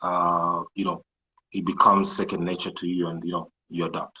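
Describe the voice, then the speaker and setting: With a Kenyan coastal accent, a man speaks at a fairly quick pace. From Kenya coast, Malindi. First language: Swahili. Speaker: entrepreneur and IT programmer. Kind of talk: interview. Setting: live social media video call.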